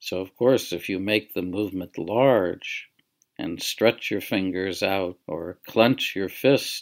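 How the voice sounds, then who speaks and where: On a very clean recording with a silent background, a man talks at a very slow pace in a gentle, soothing tone, fairly low in pitch with fairly even intonation. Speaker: guided relaxation teacher. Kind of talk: guided meditation. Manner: slow, gentle, soothing, unhurried with long pauses; soft-spoken, calm, instructional.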